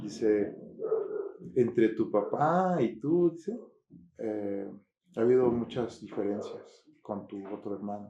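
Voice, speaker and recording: A man speaks at a very slow pace. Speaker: pastor. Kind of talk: testimony. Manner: halting.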